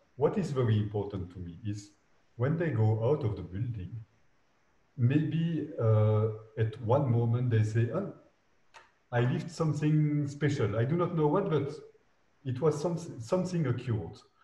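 With a dark, mellow tone, a man speaks at a moderate pace with lively intonation and long, frequent pauses. His voice is somewhat breathy, and there is audible room echo. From Belgium. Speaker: architect; guest. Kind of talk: interview. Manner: halting. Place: home room. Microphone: video call.

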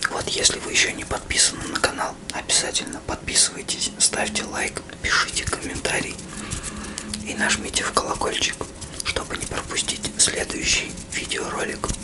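A man speaks with long, frequent pauses. Loud background noise fills the recording. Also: moderate pace. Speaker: ASMR channel host. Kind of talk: casual vlog chat. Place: home room. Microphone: phone near.

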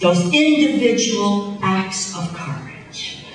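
There is light background noise and audible room echo as a woman with a medium-pitched voice speaks with very wide pitch swings. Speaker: politician. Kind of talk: campaign rally speech. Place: hall. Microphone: pa.

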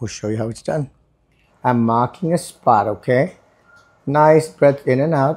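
Against a quiet background, a man is talking. His pace is moderate and his pitch varies in an ordinary way. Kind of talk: explanatory talk to camera. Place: hall. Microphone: lapel.

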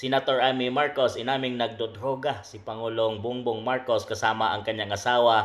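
At a moderate speed comes an ordinary speaking voice. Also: man. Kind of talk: news commentary, sensational.

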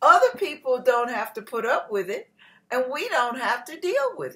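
A woman with a high-pitched voice speaks over a quiet background. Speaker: faith teacher. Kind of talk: spiritual teaching talk. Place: kitchen. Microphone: webcam.

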